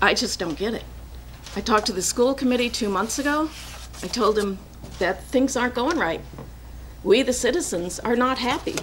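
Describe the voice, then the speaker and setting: This woman has a fairly high pitch and lively intonation, speaking at a moderate pace. Noticeable background noise and audible room echo fill the recording. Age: 60s. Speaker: resident speaking at public comment. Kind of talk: public comment at a council meeting. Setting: city council meeting.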